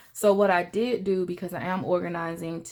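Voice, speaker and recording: On a very clean recording with a silent background, a woman speaks at a moderate pace. She has an unremarkable speaking voice, fairly low in pitch, with fairly even intonation. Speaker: personal finance vlogger. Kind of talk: casual vlog talk.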